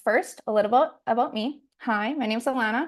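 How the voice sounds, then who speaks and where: Against a quiet background, a woman talks at a fairly quick pace with lively intonation. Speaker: hairstylist. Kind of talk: webinar presentation. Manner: fast.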